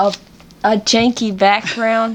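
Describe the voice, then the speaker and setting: In a Southern US accent, a woman talks at a very slow pace in a fairly high pitch with monotone, flat intonation. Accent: Southern US country twang. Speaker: podcast host. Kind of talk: casual podcast conversation.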